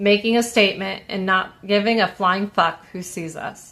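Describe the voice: Fairly even intonation in plain reading aloud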